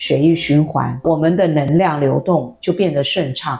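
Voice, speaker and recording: At a fairly slow pace, a woman speaks with a very deep, low pitch and ordinary pitch variation amid noticeable background noise. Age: 60s. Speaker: former journalist, spiritual wellness teacher. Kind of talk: interview.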